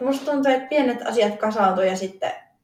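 The voice sounds somewhat breathy. Its intonation is lively. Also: woman. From eastern Finland, Joensuu. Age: 20s. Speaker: fitness athlete. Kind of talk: interview.

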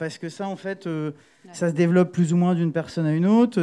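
This man speaks at a very fast pace. His pitch moves in an ordinary way. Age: 30s. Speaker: booking agent and festival programmer. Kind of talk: panel talk.

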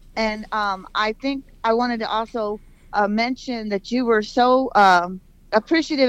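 A woman speaks at a fairly slow pace with a fairly high pitch and fairly even intonation. She has an unremarkable speaking voice against a quiet background. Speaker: caller. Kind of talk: radio call-in. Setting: phone call.

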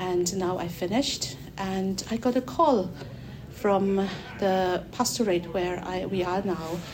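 A woman at a medium pitch and a very slow pace, with noticeable background noise and audible room echo. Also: ordinary pitch variation. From Mizoram, northeast India. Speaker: church worker about to be ordained minister. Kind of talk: interview. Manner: halting.

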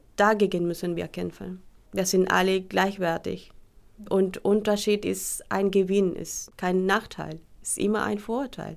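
A woman speaks at a fairly slow pace, her loudness swinging widely. The recording is very clean, with a silent background. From Colombia. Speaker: teacher seeking recognition. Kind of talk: testimony.

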